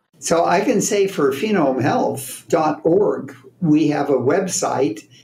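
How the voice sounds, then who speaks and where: The speech is very slow, with lively intonation and very even loudness. Audible room echo and noticeable background noise fill the recording. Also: man, fairly high pitch for a man. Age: 80s+. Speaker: scientist. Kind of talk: interview.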